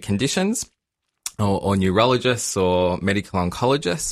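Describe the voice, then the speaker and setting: With an Australian accent, a man talks at a moderate pace in a fairly low pitch on a very clean recording with a silent background. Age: 30s. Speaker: genetic counsellor. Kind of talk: interview answers, casual explanatory chat. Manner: hesitant, many fillers.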